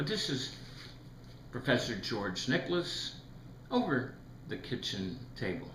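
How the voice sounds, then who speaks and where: Audible room echo along with noticeable background noise. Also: man. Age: 70s. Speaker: retired federal employee commenting on economics. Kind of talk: video commentary monologue.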